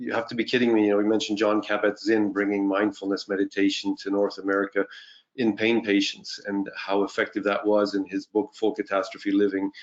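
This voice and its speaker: Fairly low in pitch, a man talks at a fairly quick pace. His intonation is monotone and flat. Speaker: physician. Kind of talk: panel presentation.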